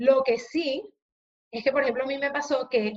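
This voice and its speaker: A woman talks in a high-pitched voice. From Venezuela. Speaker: psychologist and HR consultant. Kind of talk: interview.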